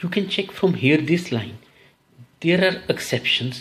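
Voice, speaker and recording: The man's voice is somewhat breathy. His intonation is lively. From India. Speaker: English test coach. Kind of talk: tutorial. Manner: slow.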